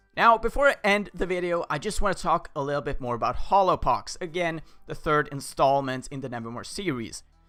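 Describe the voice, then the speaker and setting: There is music in the background. Over it, a man talks at a moderate pace. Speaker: fan video creator and voice actor. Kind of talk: casual talk to camera.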